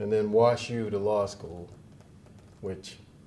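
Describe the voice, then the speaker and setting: A man speaks at a fairly low pitch and a moderate pace. Audible room echo surrounds his voice. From Chicago West Side, US. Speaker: lawyer and judge, association president. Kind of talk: inaugural speech. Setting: event with live and Zoom audience. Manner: formal.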